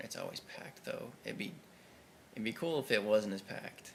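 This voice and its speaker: Someone speaks with an American accent at a moderate pace. There is noticeable background noise. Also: man. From US Midwest. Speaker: video blogger. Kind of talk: casual video diary. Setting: indoors at home by a window. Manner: hesitant, many fillers.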